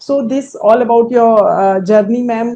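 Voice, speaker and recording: A woman in an Indian accent, dark and mellow in tone, at a moderate pace with fairly even intonation. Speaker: entrepreneur, coaching client. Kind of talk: testimonial interview. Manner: halting.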